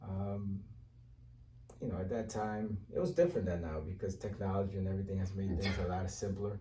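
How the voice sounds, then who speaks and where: A man with an American accent, a fairly low pitch and a dark, mellow tone, at a fairly quick pace with fairly even intonation, in audible room echo. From Cape Verde, then Bridgeport, Connecticut from childhood. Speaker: mayoral candidate. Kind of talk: interview. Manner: hesitant, many fillers.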